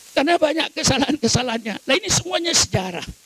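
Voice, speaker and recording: Over noticeable background noise, a man speaks with ordinary pitch variation, the sound dry and close with no echo. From Madura, Indonesia. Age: 80s+. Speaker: Islamic cleric. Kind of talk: sermon. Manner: forceful, fiery oratory.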